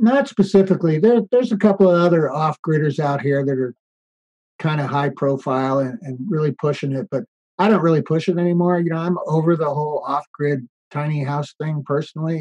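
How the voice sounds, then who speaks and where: A man with an American accent and an ordinary speaking voice talks at a fairly quick pace with ordinary pitch variation, in a dry, close sound with no echo. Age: 60s. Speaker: off-grid tiny house builder. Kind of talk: interview conversation.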